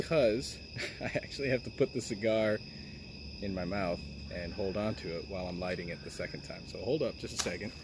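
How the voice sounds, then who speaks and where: A man with a fairly low pitch speaks at a fairly quick pace, somewhat breathy and relaxed in tone, with lively intonation. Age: 30s. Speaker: gaming streamer. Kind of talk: casual live stream chat. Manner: relaxed, quiet.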